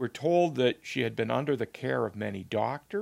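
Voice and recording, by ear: Someone is reading aloud. It is in a natural voice.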